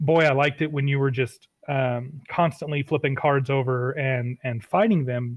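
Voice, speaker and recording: In a normal speaking voice, a man talks at a moderate pace with hardly any pauses. His pitch is fairly high and his intonation fairly even. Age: 30s. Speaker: game designer. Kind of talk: casual chat.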